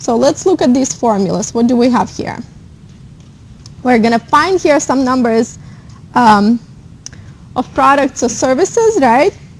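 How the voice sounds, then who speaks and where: Her high-pitched voice moves with lively intonation at a fairly slow pace, broken by long, frequent pauses. Noticeable background noise sits behind the woman. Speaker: accounting instructor. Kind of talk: lecture.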